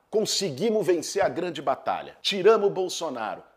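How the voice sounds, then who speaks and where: At a moderate pace, a man with a high pitch speaks in an animated tone. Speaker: left-wing political commentator. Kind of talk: political commentary video; casual chat.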